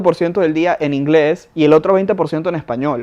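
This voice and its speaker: You can hear a man talking. The rise and fall of his pitch is ordinary. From Venezuela. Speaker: podcast co-host. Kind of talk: casual chat.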